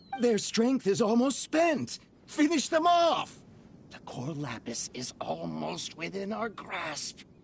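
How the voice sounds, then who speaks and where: A man puts on a character voice, pitched high. His loudness swings widely. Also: fairly slow pace. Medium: video game. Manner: blustery, stammers when panicked.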